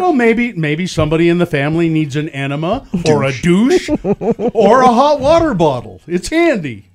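A man's amused, high-pitched speech at a moderate pace with hardly any pauses and very wide pitch swings, over noticeable background noise. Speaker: radio show host. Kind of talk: casual radio show banter. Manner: amused, joking. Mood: amused, joking. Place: studio. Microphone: studio mic.

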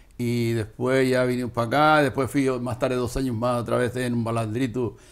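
A man's monotone, flat intonation at a fairly quick pace. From Canary Islands, La Graciosa; Canary Islands. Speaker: retired fisherman and boat skipper. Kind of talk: interview, life story; interview answer. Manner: halting, repetitive. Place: home room. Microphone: lapel.

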